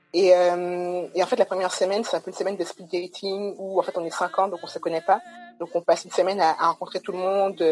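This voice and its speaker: A woman talks very fast at a medium pitch, in a monotone, flat intonation with big swings in loudness. Noticeable background noise runs underneath. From Guadeloupe. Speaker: data scientist and startup co-founder. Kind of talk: webinar interview.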